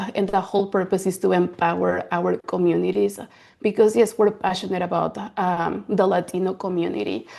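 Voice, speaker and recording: A woman speaks at a fairly quick pace, and the background around her is quiet. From Mexico City, Mexico; moved to US at 13. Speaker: counselor, founder of a counseling practice. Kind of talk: workshop presentation.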